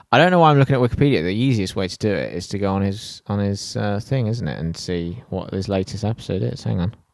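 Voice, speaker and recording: A man with an English accent at a fairly low pitch, very fast and with hardly any pauses, with lively intonation. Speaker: podcast host. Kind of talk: podcast outro monologue. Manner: rambling, relaxed.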